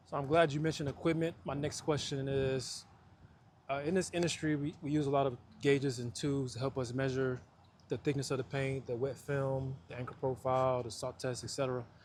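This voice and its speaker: Somewhat breathy and fairly quick, a man speaks at a medium pitch with fairly even intonation. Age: 30s. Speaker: coatings inspector and channel host. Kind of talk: interview.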